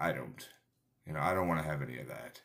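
With lively intonation and vocal fry, a man speaks in a very deep, low voice. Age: 30s. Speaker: podcast host, personal trainer. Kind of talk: motivational talk. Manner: casual, halting with fillers.

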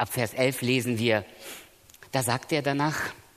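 A man's voice with vocal fry. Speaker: preacher. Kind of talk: sermon. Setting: church seminar with audience. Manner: earnest, emphatic.

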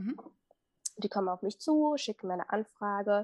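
A woman's medium-pitched voice with a dry, close sound, no echo and a quiet background. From Germany, Minden area. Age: 20s. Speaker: fashion blogger and visual merchandiser. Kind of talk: casual interview. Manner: hesitant, many fillers.

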